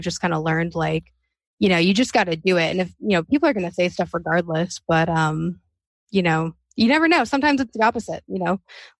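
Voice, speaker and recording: Against a quiet background, a woman with an unremarkable speaking voice and fairly low pitch talks at a fairly quick pace in a dry, close sound with no echo. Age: 20s. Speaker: podcaster. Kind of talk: casual interview chat.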